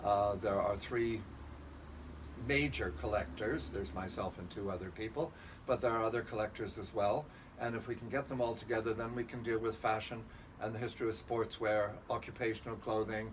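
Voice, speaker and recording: Against noticeable background noise, a man of medium pitch speaks at a fairly quick pace with ordinary pitch variation. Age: 70s. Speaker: historical fashion collector and curator. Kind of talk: interview. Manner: hesitant with fillers.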